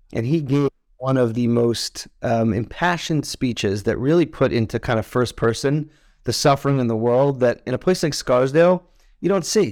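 A man with an American accent and a normal speaking voice talks at a moderate pace and medium pitch, with ordinary pitch variation, on a very clean recording with a silent background. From New York, Westchester. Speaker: healthcare executive and former soldier. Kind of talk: interview.

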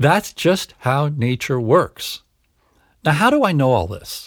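A man speaks at a fairly slow pace with a fairly high pitch and very wide pitch swings, his voice somewhat breathy. The recording is very clean, with a silent background. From Canada. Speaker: psychologist and podcast host. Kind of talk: solo podcast monologue.

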